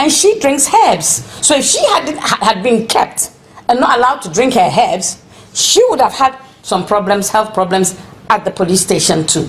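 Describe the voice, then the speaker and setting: A woman with a fairly high voice talks at a moderate pace, her pitch swinging very widely over noticeable background noise. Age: 60s. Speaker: protester. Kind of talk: interview testimony.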